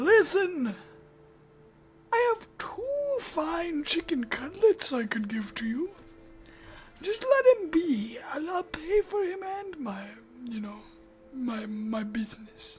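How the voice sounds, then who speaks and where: In a put-on character voice over music in the background, the speaker goes at a fairly slow pace with long, frequent pauses. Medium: solo performance. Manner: stammering, hesitant.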